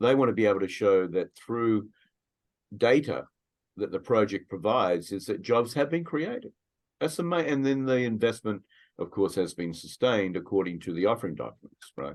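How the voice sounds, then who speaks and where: Speaking at a moderate pace against a quiet background, a man with a fairly low voice and an Australian accent uses lively intonation. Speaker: immigration attorney. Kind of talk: webinar discussion.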